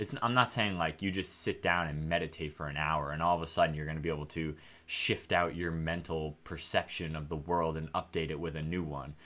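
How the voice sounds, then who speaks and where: With hardly any pauses, a man talks at a fairly quick pace in a very deep, low pitch, using fairly even intonation and a bright, sharp tone. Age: 30s. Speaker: AI researcher and YouTuber; YouTuber. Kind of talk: casual monologue. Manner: repetitive, hesitant with fillers. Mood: calm, thoughtful. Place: home room.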